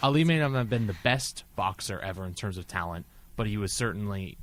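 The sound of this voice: With a normal speaking voice, a man keeps a moderate pace at a fairly low pitch.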